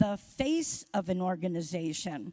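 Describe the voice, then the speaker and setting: A woman's somewhat breathy voice with a dark, mellow tone, at a fairly slow pace. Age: 70s. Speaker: award recipient, social work organization leader. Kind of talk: acceptance speech.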